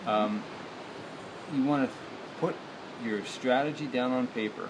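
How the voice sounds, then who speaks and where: Noticeable background noise surrounds a man who talks very slowly. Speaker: business coach. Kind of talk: casual vlog chat. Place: garden. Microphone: phone near.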